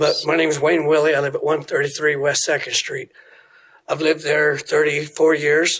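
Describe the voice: A man's put-on character voice, hoarse and raspy, at a fairly high pitch and moderate pace with monotone, flat intonation.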